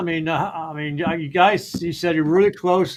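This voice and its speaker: A man with an American accent and a high pitch. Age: 60s. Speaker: live show host. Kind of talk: casual chat. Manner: halting, many fillers.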